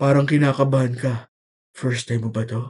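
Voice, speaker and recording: Speaking at a moderate pace, a man puts on a character voice at medium pitch with monotone, flat intonation. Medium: read story. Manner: polite, gentle.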